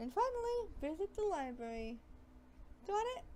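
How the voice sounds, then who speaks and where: A woman's squeaky, put-on character voice, extremely high-pitched with very wide pitch swings, over clear background noise. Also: moderate pace. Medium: game stream. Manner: brisk, commanding.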